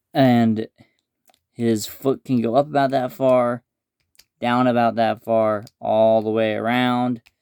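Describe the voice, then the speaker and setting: The speaker talks quietly at a very slow pace, with long, frequent pauses. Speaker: toy reviewer. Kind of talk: product review.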